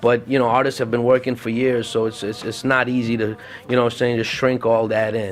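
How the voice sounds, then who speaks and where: Here a man speaks at medium pitch and a fairly quick pace. Noticeable background noise runs underneath. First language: Arabic. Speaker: podcast host. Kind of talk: casual solo podcast talk. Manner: animated, halting with fillers.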